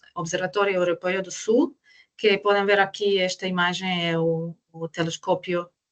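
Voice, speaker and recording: With a non-native accent, a woman talks at a moderate pace. Her pitch is medium and her intonation fairly even. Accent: foreign accent in Portuguese. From Croatia. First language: Croatian (speaking Portuguese). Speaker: astrophysicist. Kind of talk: online lecture. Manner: halting.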